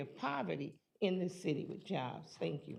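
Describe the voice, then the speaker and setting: This woman has a fairly low pitch. Her voice carries vocal fry. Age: 70s. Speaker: public commenter. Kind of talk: public comment. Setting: public board meeting.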